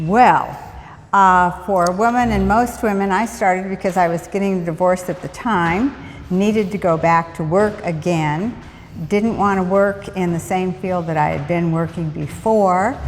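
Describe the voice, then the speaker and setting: A woman's medium pitch amid noticeable background noise. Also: fairly even intonation, moderate pace. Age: 70s. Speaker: fitness instructor. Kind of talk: interview answers.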